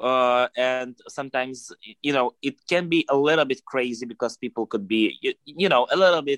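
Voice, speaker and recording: Speaking with a Russian accent, a man uses a medium pitch and ordinary pitch variation. His pace is moderate, and the sound is dry and close with no echo. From Russia, Moscow. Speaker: podcast guest. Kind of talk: casual interview. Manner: halting.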